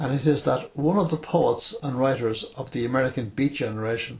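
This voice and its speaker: Vocal fry is present in the voice. The intonation is fairly even. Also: man. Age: 80s+. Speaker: retired writer and journalist. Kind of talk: philosophical monologue from memory. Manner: hesitant; unscripted, speaking from memory.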